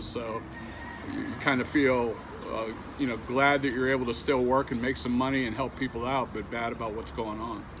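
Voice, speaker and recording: Noticeable background noise sits behind a man at a medium pitch. He talks at a moderate pace with fairly even intonation. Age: 60s. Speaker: delivery driver. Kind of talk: interview. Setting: outdoors.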